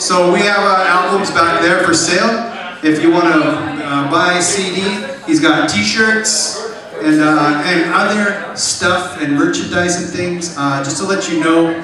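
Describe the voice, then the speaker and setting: Amid noticeable background noise and strong room echo, a man with a high pitch talks at a fairly slow pace with fairly even intonation. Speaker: event host. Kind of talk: stage announcement. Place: cafe.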